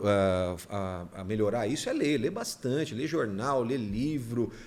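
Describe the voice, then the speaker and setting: The speaker is a man. His voice moves in very wide pitch swings. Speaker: radio announcer. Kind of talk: casual chat.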